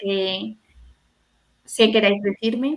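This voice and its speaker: This woman's delivery is very slow. The pitch rises and falls in an ordinary way. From Spain, Salamanca. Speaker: pedagogue, hospital education specialist. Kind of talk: online talk to an audience.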